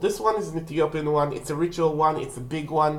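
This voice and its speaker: A woman's very deep, low voice with a non-native accent, fairly quick pace and audible room echo. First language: not English. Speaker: witchcraft video creator. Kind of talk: casual tutorial. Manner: halting.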